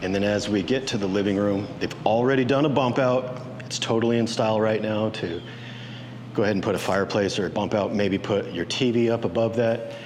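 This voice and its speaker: Noticeable background noise and audible room echo surround a man's voice. He speaks at a fairly quick pace with very even loudness. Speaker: real estate agent. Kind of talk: property tour walkthrough. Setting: walking through a house at an open house. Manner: animated.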